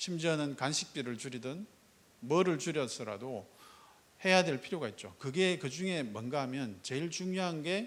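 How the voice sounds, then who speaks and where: There is audible room echo as a man talks at a moderate pace. His pitch is fairly high and his intonation lively. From Gyeongsang province, South Korea. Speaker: startup foundation executive. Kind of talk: keynote speech. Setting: stage with audience.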